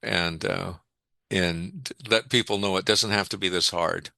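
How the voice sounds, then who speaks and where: A man speaks with vocal fry and ordinary pitch variation against a quiet background. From Canada. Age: 70s. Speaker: psychologist. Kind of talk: interview. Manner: halting, many repeated words; animated.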